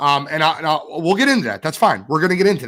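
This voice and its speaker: An animated, fairly high male voice with vocal fry and very wide pitch swings at a fairly quick pace, on a very clean recording with a silent background. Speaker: sports podcast host. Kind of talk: casual chat.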